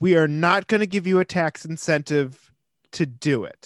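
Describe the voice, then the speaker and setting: Speaking with an American accent at a very slow pace, a man with a high pitch and ordinary pitch variation is heard over a quiet background, the sound dry and close with no echo. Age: 30s. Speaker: podcast co-host. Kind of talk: casual chat.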